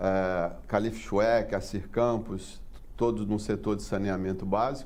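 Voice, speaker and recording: Speaking very slowly in a dark, mellow tone, a man with a fairly low voice is heard with audible room echo. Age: 60s. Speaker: port engineering consultant. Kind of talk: interview. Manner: halting.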